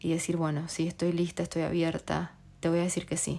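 Here a woman speaks at a fairly quick pace in a fairly low pitch with monotone, flat intonation. The recording is very clean, with a silent background. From Argentina. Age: 30s. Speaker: podcast host. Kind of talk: casual monologue.

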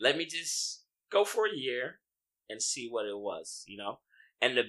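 In a quiet background, a man with an American accent talks at a moderate pace. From US, Haitian heritage.

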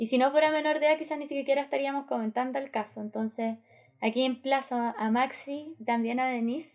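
At a fairly quick pace, a woman speaks in a high pitch with fairly even intonation on a very clean recording with a silent background. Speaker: podcast co-host. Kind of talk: panel discussion.

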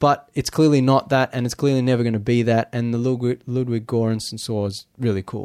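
A man with a normal speaking voice talks at a fairly quick pace, medium in pitch and fairly even in intonation. He leaves hardly any pauses, and the sound is dry and close with no echo. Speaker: podcast co-host. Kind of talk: casual podcast chat. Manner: rambling, conversational.

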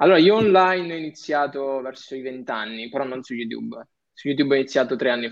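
Talking at a very fast pace, a man uses a medium pitch with ordinary pitch variation and big swings in loudness. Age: young. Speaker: digital entrepreneur and content creator. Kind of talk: casual chat.

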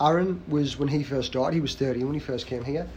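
Somewhat breathy, a man speaks at a fairly quick pace. His pitch is fairly high, with ordinary variation. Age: 30s. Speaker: gym owner and fitness coach. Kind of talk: casual podcast chat.

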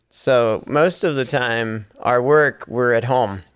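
In a normal speaking voice with an American accent, a man speaks at a fairly slow pace and medium pitch with ordinary pitch variation on a very clean recording with a silent background. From rural Pennsylvania. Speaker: missions mobilizer. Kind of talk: casual interview.

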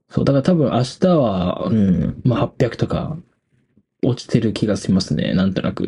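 A man with a medium pitch speaks in a relaxed tone, his pitch swinging very widely. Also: moderate pace. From Hokkaido, Japan. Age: 20s. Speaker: podcast host, university student. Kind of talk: casual late-night solo talk. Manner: relaxed, filler-heavy.

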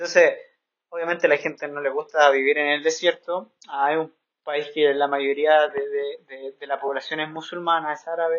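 Flat and monotone, a man speaks with a fairly high pitch. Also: moderate pace, big swings in loudness. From Santiago, Chile. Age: 20s. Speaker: missionary podcaster. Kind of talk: casual chat.

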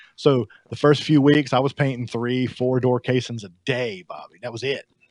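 A man with a Southern US accent speaks at a moderate pace. His intonation is fairly even. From US South. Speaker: house painter. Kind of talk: casual chat.

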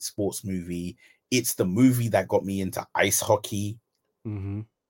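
In a British accent, a man with a fairly low pitch talks at a moderate pace with fairly even intonation, the sound dry and close with no echo. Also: very clean recording, silent background. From UK. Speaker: podcast co-host. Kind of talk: casual chat.

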